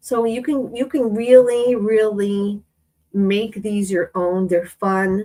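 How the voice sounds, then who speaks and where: At a very slow pace, a woman speaks in a fairly high pitch with a dark, mellow tone and fairly even intonation. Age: 40s. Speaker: craft YouTuber. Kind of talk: live-stream craft tutorial. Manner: casual, chatty.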